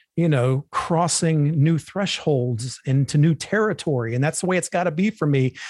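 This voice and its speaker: A fairly high-pitched, somewhat breathy man at a moderate pace with lively intonation, on a very clean recording with a silent background and a dry, close sound with no echo. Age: 50s. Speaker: bodybuilding podcast host. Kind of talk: casual monologue. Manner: casual, profane.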